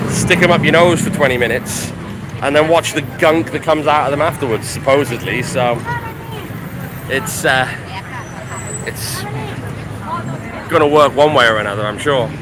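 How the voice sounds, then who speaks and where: Over crowd noise in the background and with audible room echo, a man speaks at a fairly high pitch and moderate pace, with ordinary pitch variation and long, frequent pauses. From Wales. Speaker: chef and travel vlogger. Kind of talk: live walking tour vlog. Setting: outdoors, street in Chinatown. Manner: casual, chatty.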